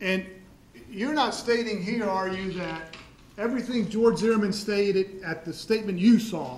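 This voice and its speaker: A man speaks loudly at a moderate pace in a high pitch. Room echo is audible, and there is noticeable background noise. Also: ordinary pitch variation. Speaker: prosecutor. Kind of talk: courtroom cross-examination. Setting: courtroom.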